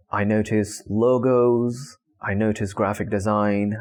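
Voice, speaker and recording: Here a man speaks in a fairly low voice. His intonation stays fairly even. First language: not English. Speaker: vlogger. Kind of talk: casual monologue. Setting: talking to camera. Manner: halting.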